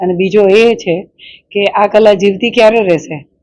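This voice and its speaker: This woman speaks at a medium pitch with ordinary variation. Her tone is dark and mellow. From south Gujarat, Killa Pardi. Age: 50s. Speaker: artist. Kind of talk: interview.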